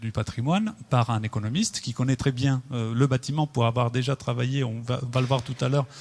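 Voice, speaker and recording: A man with a medium pitch speaks fairly quickly, his pitch varying in an ordinary way. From Italy. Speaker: architect. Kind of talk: public presentation. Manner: halting. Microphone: mic adjusted, sounds better.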